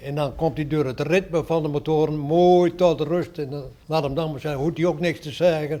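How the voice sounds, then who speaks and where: This man's fairly high voice has a dark, mellow tone and fairly even intonation, and he keeps a moderate pace. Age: 80s+. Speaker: museum volunteer, former ship engineer. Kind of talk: interview.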